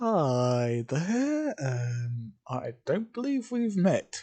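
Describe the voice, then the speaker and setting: The speaker uses a put-on character voice at a middle pitch. The pitch swings very widely. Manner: sarcastic.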